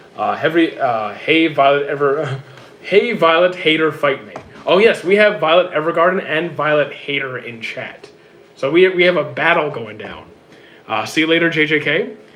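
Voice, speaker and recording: This man talks at a moderate pace in a fairly high pitch with ordinary pitch variation, over noticeable background noise. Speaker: streamer reading chat. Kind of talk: casual, conversational. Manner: stutters heavily, frequent hesitations and repeated words.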